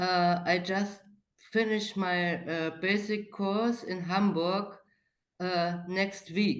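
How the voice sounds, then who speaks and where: A woman with a German accent and a medium pitch talks at a very slow pace in a flat monotone, with audible room echo. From East Germany. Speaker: participant in a video call. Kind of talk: casual chat. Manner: halting.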